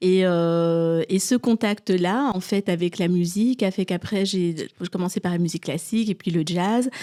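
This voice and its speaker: In a very clean recording with a silent background, a woman with a medium-pitched voice and a dark, mellow tone speaks at a fairly slow pace. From Belgium (Brussels area), Congolese family. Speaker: art historian and artist coach. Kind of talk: podcast interview. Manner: hesitant, many fillers.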